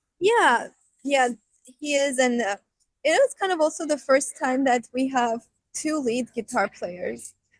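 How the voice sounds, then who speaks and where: A woman with a high pitch and lively intonation, at a fairly slow pace with long, frequent pauses, in a dry, close sound with no echo. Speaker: rock band vocalist and keyboardist. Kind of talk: interview.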